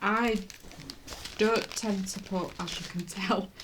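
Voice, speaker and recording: Audible room echo surrounds a woman speaking at a very slow pace with ordinary pitch variation. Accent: British. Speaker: cross stitch vlogger. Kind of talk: casual chat. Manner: halting.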